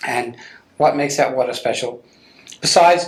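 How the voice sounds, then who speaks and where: A man is speaking at a fairly quick pace. His intonation is fairly even. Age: 60s. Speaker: TV show host. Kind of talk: interview.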